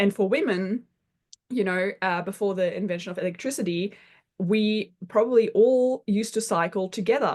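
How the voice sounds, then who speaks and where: Against a quiet background, a woman talks at a fairly quick pace with a slight German accent. Her pitch is medium with ordinary variation. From Germany, Berlin. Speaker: constellations facilitator and counsellor. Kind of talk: podcast interview.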